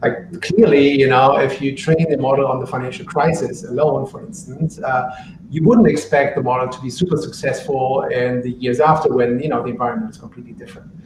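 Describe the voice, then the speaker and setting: A man with a German accent and a fairly high pitch talks at a fairly quick pace with lively intonation, big swings in loudness, and hardly any pauses, amid audible room echo and noticeable background noise. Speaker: book author on machine learning for trading. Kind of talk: live Q&A. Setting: live online stream.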